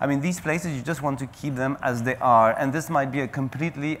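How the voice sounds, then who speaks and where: In a French accent, a man with a medium pitch speaks at a fairly quick pace and fairly even intonation on a very clean recording with a silent background. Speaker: national parks official. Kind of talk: panel discussion. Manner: halting, many fillers.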